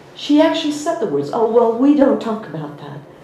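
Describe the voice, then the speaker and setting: The recording of a woman's voice carries audible room echo and noticeable background noise. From US. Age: 50s. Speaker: spiritual teacher. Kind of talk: personal story in a talk.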